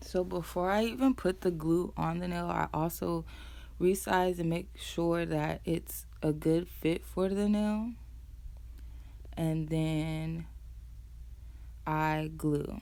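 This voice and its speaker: A soft-spoken woman talks at a very slow pace. She leaves long, frequent pauses. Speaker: nail tech vlogger. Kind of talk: tutorial voiceover. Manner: casual.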